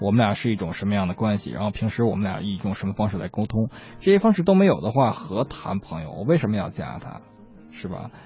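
Somewhat breathy, the voice moves at a very fast pace. Its pitch variation is ordinary. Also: man, fairly low pitch for a man. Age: 30s. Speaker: radio co-host, songwriter. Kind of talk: casual chat.

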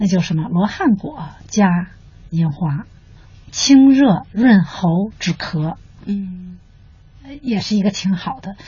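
The pace is very slow, with long, frequent pauses and lively intonation. Background noise is noticeable. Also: woman, medium pitch for a woman. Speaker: doctor of internal medicine. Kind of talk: expert interview. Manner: conversational, with fillers.

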